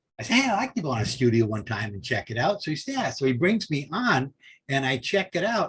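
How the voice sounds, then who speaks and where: In an American accent, a man talks at a fairly quick pace. His pitch is fairly high and swings very widely. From Southern California. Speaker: film grip and author. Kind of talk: interview storytelling. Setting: podcast. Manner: animated.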